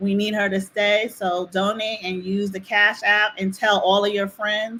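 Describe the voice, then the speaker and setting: This woman has a medium-pitched voice with a New Jersey accent. She talks at a fairly slow pace with flat, monotone intonation. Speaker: activist. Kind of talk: casual chat.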